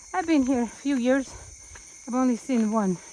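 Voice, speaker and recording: Noticeable background noise sits behind the speaker. A woman talks at a high pitch with ordinary pitch variation. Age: 70s. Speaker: Islamic teacher. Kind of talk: casual vlog talk while hiking. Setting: outdoors. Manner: halting.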